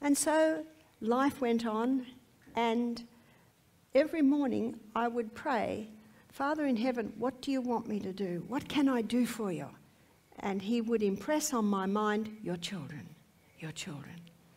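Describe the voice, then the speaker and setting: Speaking at a fairly slow pace with long, frequent pauses, a woman uses lively intonation and a fairly high pitch. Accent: Australian. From Australia. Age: 60s. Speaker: health lecturer. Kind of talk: testimony.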